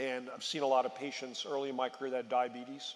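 A man speaks fairly quickly at medium pitch. His intonation is monotone and flat. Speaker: physician executive at pharmacy chain; panelist. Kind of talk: panel discussion. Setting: stage with audience. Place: stage. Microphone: headset.

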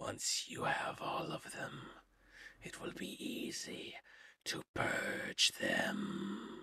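A put-on, sinister character voice, whispered and raspy, at a very slow pace with long, frequent pauses. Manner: sinister whisper.

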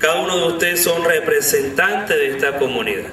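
A man talks at a fairly quick pace in a fairly high pitch, his tone bright and sharp, with audible room echo around him. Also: ordinary pitch variation.

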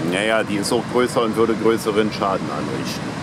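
Dry sound with no echo, a fairly slow pace and noticeable background noise. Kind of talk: casual vlog chat. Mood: playful, joking. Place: beach. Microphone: phone near.

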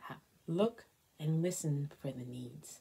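A dark, mellow voice, somewhat breathy, moves at a fairly slow pace with lively intonation. Light background noise sits underneath. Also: woman. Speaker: college chaplain and priest leading prayer. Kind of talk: fervent, devout prayer, intoned with heartfelt supplication. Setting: recorded online prayer video. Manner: earnest, reverent, slow and rhythmic, with a heartfelt, pleading tone. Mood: calm, reverent. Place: home room. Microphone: phone near.

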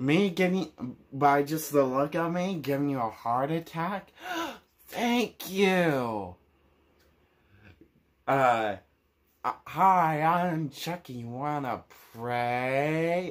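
Putting on a character voice, a man speaks at a fairly high pitch and a very slow pace, with long, frequent pauses. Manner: sarcastic.

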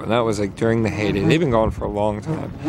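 A man speaks with ordinary pitch variation in a dry recording with no echo and light background noise. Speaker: vlogger. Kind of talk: casual vlog chat. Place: waterside. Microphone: phone near.

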